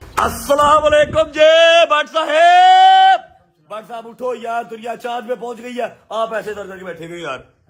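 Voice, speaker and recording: This man's voice is extremely high and animated, with very wide pitch swings and big jumps in loudness. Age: 20s. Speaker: family vlogger. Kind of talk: casual chat.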